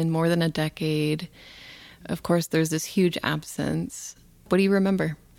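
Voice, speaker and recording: On a very clean recording with a silent background, a woman with a fairly low pitch uses a normal speaking voice at a moderate pace. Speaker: radio host. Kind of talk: interview. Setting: studio.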